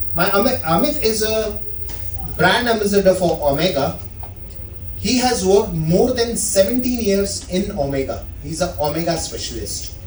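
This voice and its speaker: An animated man's high voice at a moderate pace with lively intonation, amid audible room echo and noticeable background noise. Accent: Indian. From India. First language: Indian language (not English). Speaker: watch sales associate giving a talk. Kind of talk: informal presentation to an audience.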